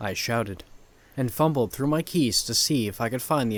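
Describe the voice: Pitch varies in an ordinary way. This is plain reading aloud.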